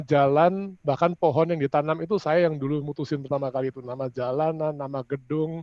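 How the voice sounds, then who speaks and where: A fairly high-pitched man at a fairly quick pace, with ordinary pitch variation. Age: 60s. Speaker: property developer executive. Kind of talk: panel discussion closing statement. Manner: halting, with fillers.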